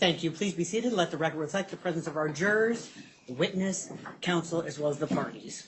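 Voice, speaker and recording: Very fast speech from a woman with a fairly low pitch and ordinary pitch variation, amid noticeable background noise. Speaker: judge. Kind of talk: courtroom proceedings. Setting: courtroom.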